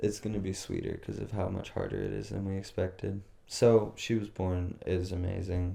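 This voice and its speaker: A man's very deep, low voice, dark and mellow, somewhat breathy, monotone and flat, at a moderate pace. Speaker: podcast co-host. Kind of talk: casual chat.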